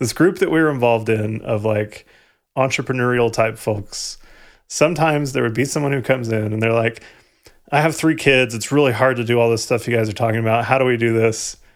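A normal speaking voice at a fairly quick pace with ordinary pitch variation, in a very clean recording with a silent background. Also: man. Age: 30s. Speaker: podcast co-host. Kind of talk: casual chat.

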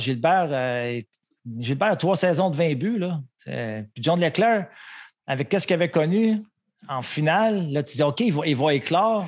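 Against a quiet background, a man with a Quebec accent speaks at a fairly slow pace and fairly high pitch, his intonation lively and his pauses long and frequent. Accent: Québécois French. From Montreal, Quebec. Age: 50s. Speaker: retired hockey player, co-host. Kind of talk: casual chat.

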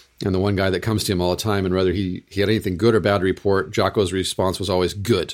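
Very deep and low in pitch, a man speaks at a very fast pace in a monotone, flat delivery. The recording is very clean, with a silent background. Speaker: Lutheran pastor and podcast host. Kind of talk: casual chat.

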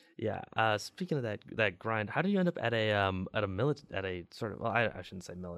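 A man with an American accent has a normal speaking voice. His pitch is fairly low, with ordinary pitch variation. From Chicago. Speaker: college radio host. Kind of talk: casual interview chat; radio announcement.

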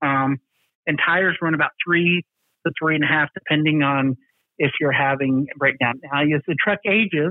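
In an American accent, a man talks with a plain, everyday voice, a fairly high pitch and fairly even intonation. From US South. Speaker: trucking company maintenance executive. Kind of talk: interview.

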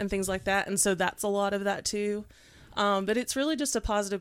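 Speaking with an East Tennessee accent at a fairly quick pace, a woman has medium pitch and ordinary pitch variation, on a very clean recording with a silent background. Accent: Southern US (East Tennessee). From East Tennessee (Knoxville). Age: 30s. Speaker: astrologer and makeup artist. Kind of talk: casual chat.

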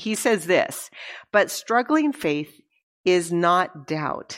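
A woman speaks at a very slow pace in a fairly low voice. The recording is very clean, with a silent background. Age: 60s. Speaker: women's conference speaker. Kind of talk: sermon. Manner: conversational.

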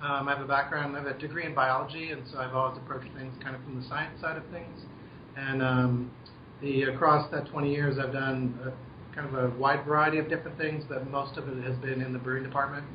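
Someone with an American accent speaks at a fairly quick pace in monotone, flat intonation, with audible room echo and noticeable background noise. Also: man, fairly high pitch for a man. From US Southwest (Albuquerque, New Mexico). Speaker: brewmaster. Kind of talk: interview over a phone call.

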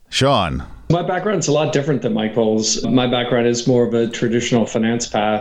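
With an American accent, a man at a medium pitch talks at a fairly quick pace with ordinary pitch variation and very even loudness, amid audible room echo. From Texas, Katy near Houston. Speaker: venture capitalist. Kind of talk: interview.

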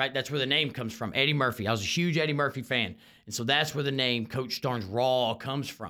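A man's bright, sharp, medium-pitched voice with a Texan accent, very fast in pace with ordinary pitch variation. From Houston, Texas. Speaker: high school football coach. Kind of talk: solo sports podcast monologue. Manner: halting, frequent repeated words.

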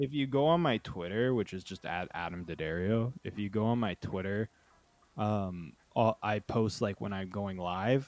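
A man talks at a fairly slow pace in a fairly low voice with ordinary pitch variation, a normal speaking voice. The sound is dry and close, with no echo. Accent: Canadian. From Ontario, Canada (Uxbridge, near Toronto). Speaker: journalist and documentary filmmaker. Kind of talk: casual chat.

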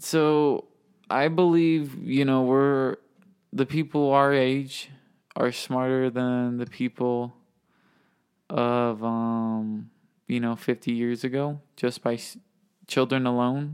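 A man's medium-pitched voice, very slow and fairly even in intonation, with long, frequent pauses. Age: young. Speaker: podcast co-host. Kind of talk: casual chat.

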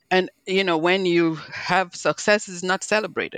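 A woman with a Nigerian accent at medium pitch, dry and close with no echo, against a quiet background. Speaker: physician and health executive. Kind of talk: interview.

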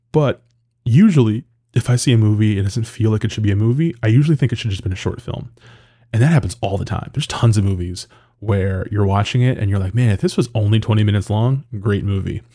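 A man's fairly low, dark, mellow, somewhat breathy voice at a very fast pace, on a very clean recording with a silent background. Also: ordinary pitch variation. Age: 30s. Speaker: film critic podcast host. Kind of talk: casual solo podcast monologue. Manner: hesitant, many fillers and repetitions.

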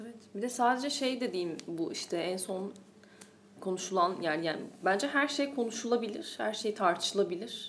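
Her fairly high-pitched voice rises and falls in a lively way as this woman talks at a moderate pace, with audible room echo. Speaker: film podcast host. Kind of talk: casual chat.

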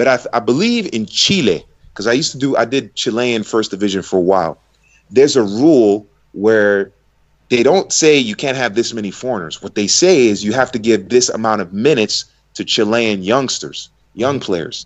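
A man speaks in a normal speaking voice with an American accent. His medium pitch carries lively intonation at a moderate pace. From United States. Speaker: football commentator. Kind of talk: casual chat.

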